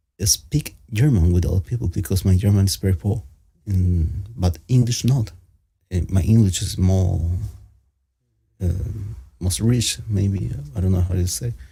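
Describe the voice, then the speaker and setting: A man with a very deep, low pitch and a dark, mellow tone speaks at a fairly slow pace, somewhat breathy. His pitch variation is ordinary, and he leaves long, frequent pauses. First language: Spanish. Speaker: panel participant. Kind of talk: casual chat. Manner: halting.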